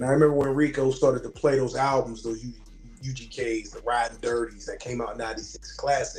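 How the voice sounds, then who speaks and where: Over noticeable background noise, a man with an American accent speaks at a very fast pace, his loudness swinging a lot. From Pittsburgh, US. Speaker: Marine veteran. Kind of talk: casual interview.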